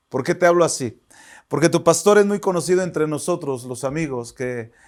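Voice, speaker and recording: Fairly quick and fairly high, a man's plain, everyday voice carries ordinary pitch variation. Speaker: pastor. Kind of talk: sermon. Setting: online church service.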